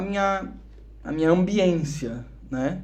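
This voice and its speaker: Amid audible room echo, a man with a São Paulo accent speaks at a high pitch with lively intonation. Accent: São Paulo (paulista) Brazilian Portuguese. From Brazil, Curitiba then São Paulo from age 12. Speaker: musician and missionary, podcast guest. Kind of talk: casual podcast interview, testimony.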